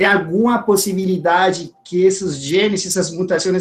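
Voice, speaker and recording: A man with a Spanish accent speaks in a high voice at a moderate pace. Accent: Spanish-accented Portuguese (portunhol). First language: Spanish (speaking Portuguese). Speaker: scientist, audience member asking a question. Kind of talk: academic Q&A question. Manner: halting, with fillers.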